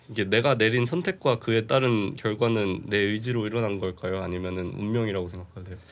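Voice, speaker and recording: On a very clean recording with a silent background, a man with a normal speaking voice and fairly low pitch talks at a fairly quick pace with hardly any pauses and ordinary pitch variation. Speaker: podcast host. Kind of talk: casual interview chat. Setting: studio.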